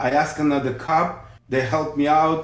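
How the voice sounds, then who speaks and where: A man speaks in a fairly high pitch with a strong Russian accent and a somewhat breathy quality. His pace is moderate, and there is audible room echo. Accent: heavy Russian. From Ukraine, Odessa. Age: 50s. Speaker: police officer. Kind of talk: casual chat.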